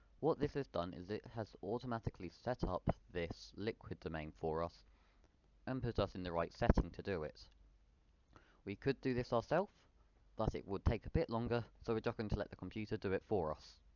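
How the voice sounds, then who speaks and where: A man with a British accent speaks at a fairly quick pace and a fairly low pitch, using lively intonation and long, frequent pauses. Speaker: software tutorial youtuber. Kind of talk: tutorial. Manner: fast; self-correcting stumbles.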